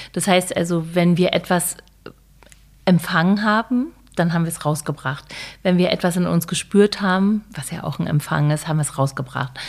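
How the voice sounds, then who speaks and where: A woman's plain, everyday voice, fairly low in pitch, at a moderate pace. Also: ordinary pitch variation. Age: 50s. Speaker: author and online platform founder. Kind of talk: casual chat.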